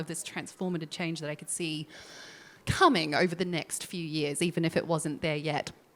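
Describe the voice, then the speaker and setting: A woman with a New Zealand accent is heard on a very clean recording with a silent background. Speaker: legal tech executive, former lawyer. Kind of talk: panel discussion.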